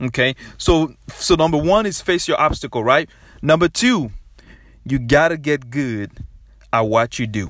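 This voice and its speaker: An energetic, fairly slow voice in a West African accent, with lively intonation, on a very clean recording with a silent background. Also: man, fairly high pitch for a man. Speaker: podcast host. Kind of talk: motivational solo podcast talk. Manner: repetitive, energetic.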